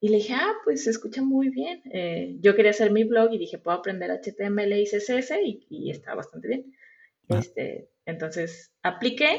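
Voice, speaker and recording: Vocal fry runs through a woman's speech. Her pitch rises and falls very widely. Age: 30s. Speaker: front-end web developer. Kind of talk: interview.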